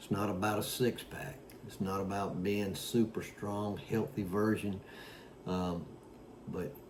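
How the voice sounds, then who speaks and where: Amid audible room echo, a man speaks at a fairly slow pace with a fairly low pitch and fairly even intonation. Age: 60s. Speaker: fitness vlogger. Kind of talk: casual talk to camera. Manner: halting with many fillers.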